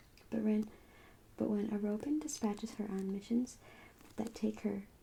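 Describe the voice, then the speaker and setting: Soft-spoken and relaxed, a woman talks at a moderate pace in a fairly high, somewhat breathy voice with a dark, mellow tone. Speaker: ASMR creator. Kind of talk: ASMR book haul talk to camera. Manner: soft-spoken, relaxed.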